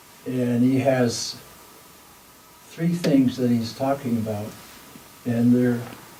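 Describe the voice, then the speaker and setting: Against noticeable background noise and audible room echo, a man with a medium-pitched voice and fairly even intonation talks at a very slow pace with long, frequent pauses. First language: not English. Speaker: dialogue circle participant. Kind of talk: group dialogue sharing. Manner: halting.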